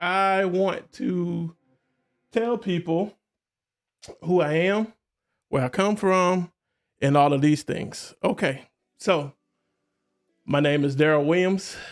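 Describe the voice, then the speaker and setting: A man with a high pitch speaks at a very slow pace, with long, frequent pauses and ordinary pitch variation. The recording is very clean and the background silent. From US South, Columbus, Georgia. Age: 40s. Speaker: podcast host. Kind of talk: casual solo livestream talk. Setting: live stream. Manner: halting, with many fillers.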